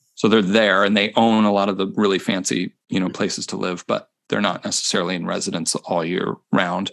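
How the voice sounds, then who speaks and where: A man with an American accent and an unremarkable speaking voice talks at a fairly quick pace in a fairly low pitch, with fairly even intonation and hardly any pauses. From US Midwest, Chicago area. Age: 40s. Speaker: percussion instructor. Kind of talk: casual interview. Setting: video call.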